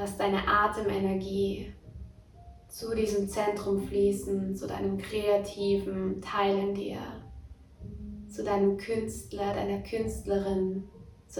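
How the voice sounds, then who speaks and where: Over music in the background, a woman speaks very slowly in a warm, calm tone, leaving long, frequent pauses. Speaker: podcast host and meditation guide. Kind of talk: guided meditation. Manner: slow, soft, soothing; warm, calm, dreamy.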